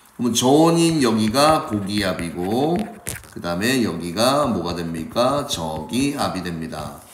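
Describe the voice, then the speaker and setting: Against noticeable background noise and audible room echo, a man speaks at a fairly low pitch with very wide pitch swings. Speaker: science teacher. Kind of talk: lecture.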